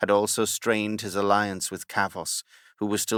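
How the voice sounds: Simply a natural reading voice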